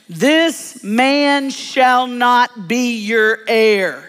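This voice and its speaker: A put-on character voice with a fairly high pitch. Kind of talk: commanding.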